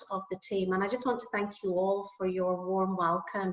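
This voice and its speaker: A woman speaks with a Northern Irish accent at a medium pitch. Noticeable background noise is present. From Northern Ireland. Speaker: nursing academic. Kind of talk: lecture. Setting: video call. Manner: hesitant, many fillers.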